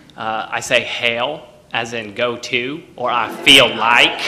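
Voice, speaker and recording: A man's medium-pitched voice carries audible room echo, with noticeable background noise around it. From Texas. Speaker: storyteller. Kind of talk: stage storytelling. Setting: stage with audience.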